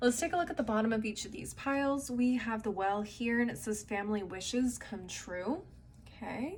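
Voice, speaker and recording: With a Californian accent, a woman speaks at a moderate pace in a fairly high voice with lively intonation. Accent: California. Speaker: tarot reader. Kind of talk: tarot reading. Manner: casual, conversational.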